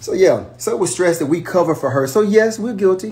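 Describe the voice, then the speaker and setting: A man is speaking. His voice is somewhat breathy. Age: 60s. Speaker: livestreamer, brother of reality TV star. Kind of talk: casual livestream chat. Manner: hesitant, many fillers.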